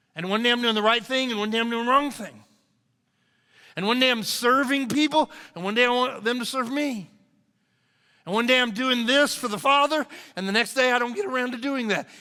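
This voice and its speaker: A bright, sharp, raised and projected voice at a fairly quick pace, with ordinary pitch variation and long, frequent pauses. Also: man, extremely high pitch for a man. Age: 60s. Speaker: pastor. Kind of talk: sermon. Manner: animated.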